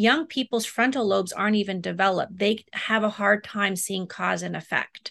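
Her tone bright and sharp with vocal fry, a woman talks with hardly any pauses and ordinary pitch variation, in a dry, close sound with no echo. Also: medium pitch for a woman, moderate pace. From Germany. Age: 40s. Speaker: therapist. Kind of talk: interview.

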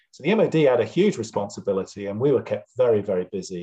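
Somewhat breathy and dark, mellow in tone, a man speaks at a fairly quick pace. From Wiltshire, England. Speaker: bat ecologist and consultant. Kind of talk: casual interview. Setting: video call from home. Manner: hesitant, many filler words.

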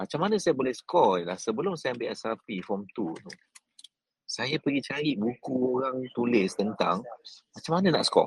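With very wide pitch swings, a man speaks at a medium pitch. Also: moderate pace. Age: 40s. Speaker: business coach. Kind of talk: motivational talk. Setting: airport lounge. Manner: animated.

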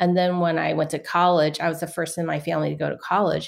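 Using vocal fry and an American accent, a woman with fairly low pitch talks at a fairly quick pace. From US West Coast, San Francisco. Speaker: author. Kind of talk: interview. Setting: video call.

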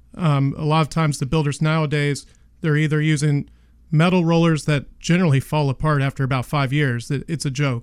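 A man with an American accent speaks in a plain, everyday voice at a fairly high pitch, moderate pace and fairly even intonation, on a very clean recording with a silent background. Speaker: garage door company owner. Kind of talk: radio interview. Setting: studio.

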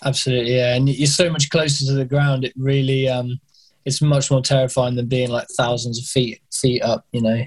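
With a British accent, a man with a medium-pitched, somewhat breathy voice speaks at a fairly quick pace in monotone, flat intonation, with a dry, close sound with no echo. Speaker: skydiving instructor. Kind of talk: interview conversation. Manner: halting, many repeated words and fillers.

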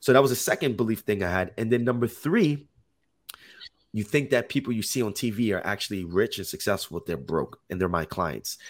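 A man with a plain, everyday voice speaks at medium pitch and a fairly quick pace, with lively intonation. The recording is very clean, with a silent background. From Jersey City, New Jersey. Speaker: health and life coach. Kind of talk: interview, casual storytelling.

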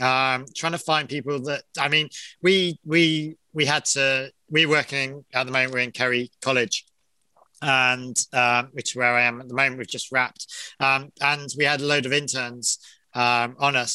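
With an English accent, a man speaks at a moderate pace and medium pitch, his tone bright and sharp and his intonation fairly even, the sound dry and close with no echo over a quiet background. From England. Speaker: location manager. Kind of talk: casual interview.

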